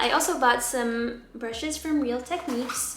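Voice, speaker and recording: A woman's high-pitched voice with a non-native accent, fairly slow pace, audible room echo and noticeable background noise. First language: not English. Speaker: beauty vlogger. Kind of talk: casual chat. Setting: at home by a window. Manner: chatty.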